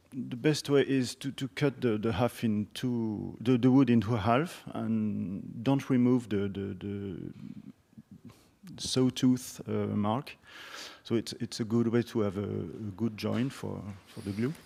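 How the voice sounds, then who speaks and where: A man's dark, mellow voice in a French accent. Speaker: instrument maker. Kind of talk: conference discussion. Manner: halting.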